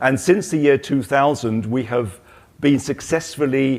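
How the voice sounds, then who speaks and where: A man with a British accent at a fairly slow pace, with ordinary pitch variation. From Britain. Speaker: trade association president, former company director. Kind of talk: panel discussion. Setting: stage with audience at trade show.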